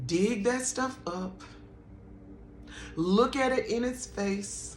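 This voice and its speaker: A woman speaking at a very slow pace amid audible room echo. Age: 50s. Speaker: spiritual vlogger. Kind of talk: personal testimony and spiritual encouragement.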